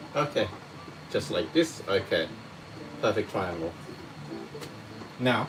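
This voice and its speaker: With noticeable background noise behind it, the speech proceeds at a fairly slow pace broken by long, frequent pauses. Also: man. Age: 30s. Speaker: cooking teacher. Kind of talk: live cooking lesson. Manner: casual, chatty.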